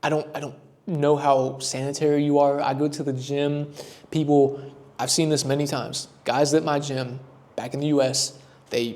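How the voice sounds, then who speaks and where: A man with an American accent speaks loudly at a fairly high pitch. His intonation is monotone and flat. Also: moderate pace. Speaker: travel vlogger. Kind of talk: casual vlog recap. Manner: casual, chatty.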